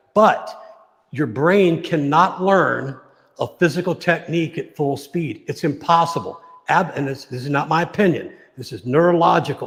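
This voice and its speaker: A man speaks at a moderate pace in a plain, everyday voice, with ordinary pitch variation and big swings in loudness. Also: fairly high pitch for a man. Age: 60s. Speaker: martial arts coach. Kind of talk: casual chat. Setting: live stream.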